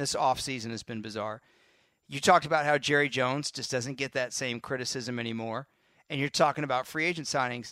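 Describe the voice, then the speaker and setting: In an American accent, a man talks at a fairly quick pace with fairly even intonation and a bright, sharp tone, in a dry, close sound with no echo on a very clean recording with a silent background. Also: medium pitch for a man. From Texas. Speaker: football analyst. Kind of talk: casual chat.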